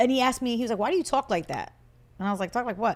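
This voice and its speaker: Someone talks at a very fast pace with ordinary pitch variation. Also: woman. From US Northeast, Puerto Rican family. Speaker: podcast co-host. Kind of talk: casual chat. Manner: loud.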